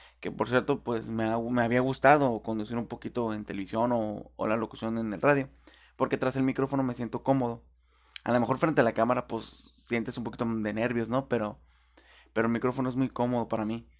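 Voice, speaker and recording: Talking at a fairly quick pace, a man with a medium pitch keeps a monotone, flat intonation. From Tijuana, Baja California, Mexico. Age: 20s. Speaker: podcaster. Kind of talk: casual monologue. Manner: hesitant, with fillers.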